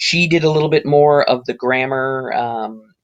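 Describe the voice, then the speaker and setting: A man with an American accent talks at a fairly slow pace. His is an unremarkable speaking voice with ordinary pitch variation. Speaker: teacher. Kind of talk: personal introduction monologue. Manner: casual, many filler ums.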